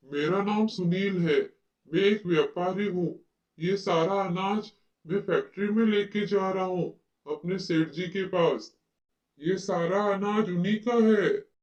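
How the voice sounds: This man uses a cartoonish character voice with a high pitch. He keeps a moderate pace and fairly even intonation.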